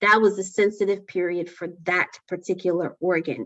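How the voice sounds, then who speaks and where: In an ordinary speaking voice, a woman talks at a moderate pace and medium pitch. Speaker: lecturer. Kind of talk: lecture.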